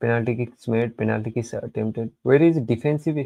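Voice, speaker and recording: A man with a Nepali accent, medium pitch, dark and mellow tone, fairly even intonation and a moderate pace. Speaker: football live-stream reactor. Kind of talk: live reaction stream. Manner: halting, repeats words.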